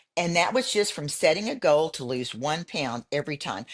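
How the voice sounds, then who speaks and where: Swinging very widely in pitch, a woman speaks with a Texan accent in a dry, close sound with no echo. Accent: Texan American. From Houston, Texas. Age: 70s. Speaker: bodybuilder. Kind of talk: interview. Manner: halting.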